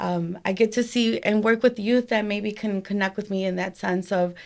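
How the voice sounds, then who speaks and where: Her voice sits at a medium pitch and stays monotone and flat, at a moderate pace. The recording is very clean, with a silent background. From Chicago suburbs, US Midwest (born in Mexico). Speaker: suicide prevention nonprofit founder and art studio owner. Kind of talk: podcast interview.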